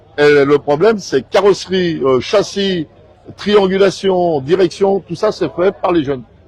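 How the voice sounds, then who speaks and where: A man with a high voice and ordinary pitch variation speaks at a fairly slow pace. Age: 70s. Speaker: car club leader and youth mechanics mentor. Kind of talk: casual interview. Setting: exhibition fair.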